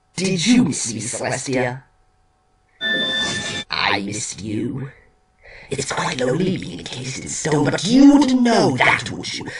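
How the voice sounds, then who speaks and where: Using a put-on character voice at medium pitch, a man speaks with long, frequent pauses. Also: moderate pace. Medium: dub. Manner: teasing, playful.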